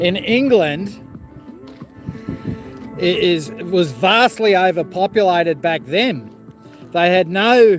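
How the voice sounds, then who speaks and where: An Australian accent at a very slow pace with long, frequent pauses, music in the background. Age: 50s. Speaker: vlogger. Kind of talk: casual live stream talk. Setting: outdoors. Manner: rambling, casual.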